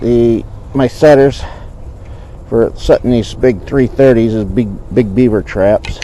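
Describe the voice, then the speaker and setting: A man with a medium pitch is heard over noticeable background noise. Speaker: trapper and outdoor video host. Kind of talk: casual outdoor vlog narration. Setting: outdoors at a beaver trapline.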